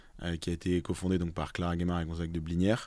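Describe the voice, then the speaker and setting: Speech at a fairly quick pace, on a very clean recording over a silent background. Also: man. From Alsace, France (Strasbourg). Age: 30s. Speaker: investment fund co-director. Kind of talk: casual interview. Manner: hesitant with repetitions.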